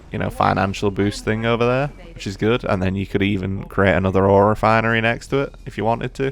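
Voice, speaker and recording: Over noticeable background noise, a man rushes along at a very fast pace, his fairly low pitch held in fairly even intonation. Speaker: gaming commentator. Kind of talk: gameplay commentary. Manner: casual, filler-heavy; halting, stuttering.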